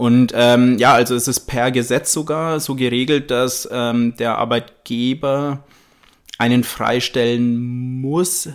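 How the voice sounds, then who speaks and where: This man has a medium pitch and fairly even intonation. He speaks at a very slow pace. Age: 30s. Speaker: architect and disaster relief volunteer. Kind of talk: interview. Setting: studio.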